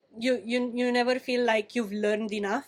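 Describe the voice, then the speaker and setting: A woman's fairly high voice with a non-native accent and fairly even intonation. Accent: foreign. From Romania. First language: Romanian. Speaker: pastry chef. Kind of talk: interview. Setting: in a bakery.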